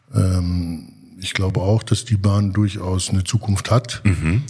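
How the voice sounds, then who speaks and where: With noticeable background noise around him, a man speaks at a fairly low pitch with ordinary pitch variation. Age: 40s. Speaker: rail freight company executive. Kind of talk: casual interview. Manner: hesitant, many filler sounds.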